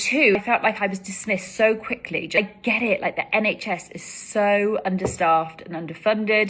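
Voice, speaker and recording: A woman with a British accent talks at a medium pitch with ordinary pitch variation. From UK. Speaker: content creator. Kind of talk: casual vlog monologue.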